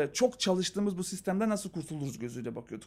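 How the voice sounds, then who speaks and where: In a high pitch, a man speaks with very wide pitch swings. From North Macedonia (Skopje). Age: 40s. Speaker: marketing researcher and speaker. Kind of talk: casual interview.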